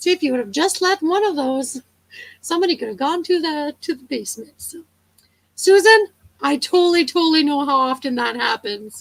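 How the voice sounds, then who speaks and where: Her intonation is lively as the woman talks. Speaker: livestream co-host. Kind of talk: casual chat. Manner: fast.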